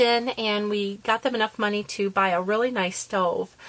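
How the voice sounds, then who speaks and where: A woman with a normal speaking voice, fairly high in pitch, fairly even in intonation, at a fairly slow pace. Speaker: papercraft video maker. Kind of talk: tutorial.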